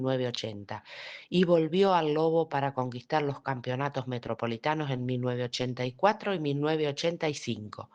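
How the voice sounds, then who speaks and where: A woman's very deep, low voice with ordinary pitch variation, a fairly quick pace and a quiet background. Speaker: voice-over narrator. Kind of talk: documentary narration.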